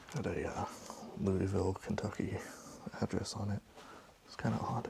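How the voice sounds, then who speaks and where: Whispering at a moderate pace, against noticeable background noise. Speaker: urban explorer. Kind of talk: exploration vlog narration. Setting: inside an abandoned building. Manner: quiet, hushed; hesitant, filler-heavy.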